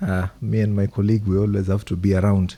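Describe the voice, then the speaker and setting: In a very clean recording with a silent background, a man with an East African accent speaks in a dark, mellow tone with monotone, flat intonation. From Kenyan coast. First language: Swahili. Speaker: government official. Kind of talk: farewell dinner speech. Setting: dinner event. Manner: hesitant with fillers.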